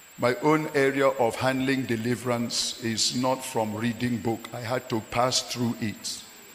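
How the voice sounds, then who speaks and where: A man at a medium pitch, flat and monotone, fairly slow with hardly any pauses, over noticeable background noise. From Nigeria. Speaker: pastor. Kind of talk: sermon.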